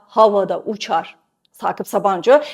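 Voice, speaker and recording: At a fairly slow pace, a woman talks in a normal speaking voice with lively intonation. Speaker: journalist and video host. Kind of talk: scripted narration.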